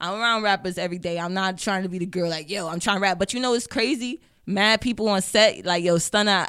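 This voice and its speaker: The voice has a bright, sharp tone and an American accent, going very fast with ordinary pitch variation. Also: woman, medium pitch for a woman. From Detroit, Michigan (east side). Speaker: model, rapper and actress. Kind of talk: casual interview.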